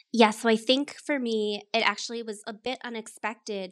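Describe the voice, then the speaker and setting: A woman with a General American accent has an unremarkable speaking voice, pitched fairly high, with fairly even intonation. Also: very clean recording, silent background. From Colorado. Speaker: marketing professional, former musical theater performer. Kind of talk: interview.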